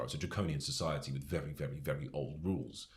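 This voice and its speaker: A man with a British accent speaks in a very deep, low register with vocal fry and ordinary pitch variation. Room echo is audible. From England. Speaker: soldier. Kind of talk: casual chat. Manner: animated.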